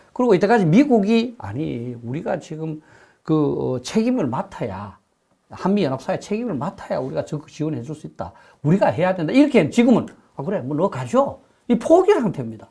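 Dark and mellow in tone, a man's high-pitched voice moves at a fairly quick pace with very wide pitch swings and big swings in loudness. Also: quiet background. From South Korea. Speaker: professor of political science and defense expert; professor of political science. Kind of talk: interview. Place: studio. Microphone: lapel.

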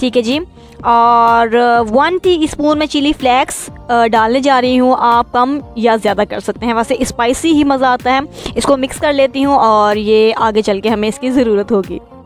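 Faint music plays in the background of this dry recording with no echo. A woman speaks at a high pitch with ordinary pitch variation. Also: fairly slow pace. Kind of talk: cooking tutorial narration. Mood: warm, friendly. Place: kitchen.

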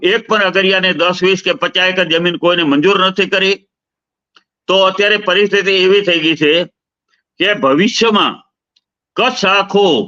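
Using a raised, projected voice with a bright, sharp tone, a man speaks at a high pitch with fairly even intonation and very even loudness. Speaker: politician and activist. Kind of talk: interview. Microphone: bad connection, audio cutting out.

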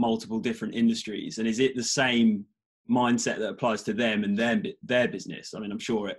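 A man's medium pitch in a British accent with monotone, flat intonation. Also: quiet background. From UK. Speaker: podcast host. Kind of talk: casual interview. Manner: halting, many fillers. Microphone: video call.

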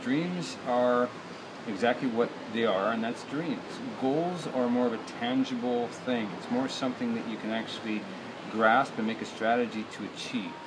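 A man speaks at a moderate pace with ordinary pitch variation and long, frequent pauses. Noticeable background noise is present. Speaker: business coach. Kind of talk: casual vlog chat. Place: garden. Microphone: phone near.

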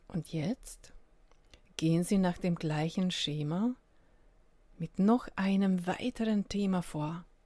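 A woman speaks very slowly at a medium pitch in a calm, soothing, dark and mellow tone, somewhat breathy, with long, frequent pauses. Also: ordinary pitch variation. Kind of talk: guided meditation. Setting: solo recording without music. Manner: slow, calm, soothing with long pauses; gentle, invitational.

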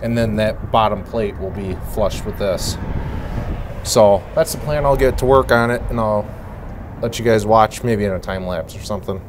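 A man talks at a moderate pace with fairly even intonation. Noticeable background noise runs under his voice. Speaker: DIY tractor owner. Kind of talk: tutorial. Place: street.

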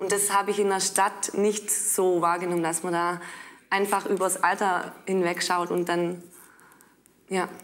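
Pausing long and often, a woman at medium pitch talks at a fairly slow pace with monotone, flat intonation. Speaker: trainee teacher living in a village. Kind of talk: studio discussion.

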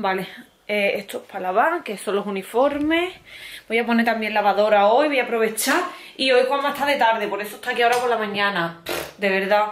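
At a fairly quick pace, a woman talks with ordinary pitch variation. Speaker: family vlogger. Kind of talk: casual vlog chat. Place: home room. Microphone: phone near.

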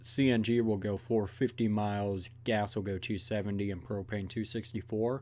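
A man with a dark, mellow tone. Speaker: video reactor. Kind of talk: casual reaction commentary. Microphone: earbuds.

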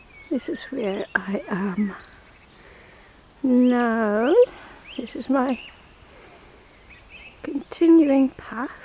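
Against light background noise and a dry sound with no echo, a woman with a high pitch talks at a very slow pace, using lively intonation and long, frequent pauses. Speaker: grandmother filming her walk. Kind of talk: casual walking vlog narration. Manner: slow, drawn-out. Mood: relaxed, amused. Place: waterside. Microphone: phone near.

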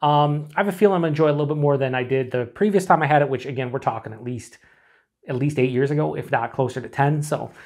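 A man talks at a very fast pace with ordinary pitch variation against a quiet background. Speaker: beer reviewer. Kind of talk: casual review chat. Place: home room.

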